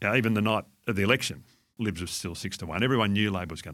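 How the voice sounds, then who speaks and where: Speaking very fast with an Australian accent, a man uses a fairly low pitch and ordinary pitch variation, on a very clean recording with a silent background. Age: 60s. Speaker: fund manager. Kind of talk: interview.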